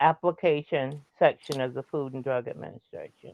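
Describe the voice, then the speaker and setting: Her pitch moves with ordinary variation. The speaker is a woman. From Washington DC, US (early childhood North Carolina). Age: 70s. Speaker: retired federal employee, community elder. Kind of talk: interview.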